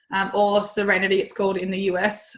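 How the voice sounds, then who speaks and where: A woman's voice, somewhat breathy, sits at a medium pitch. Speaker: dog groomer and essential oils seller. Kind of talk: webinar presentation. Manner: casual, with fillers.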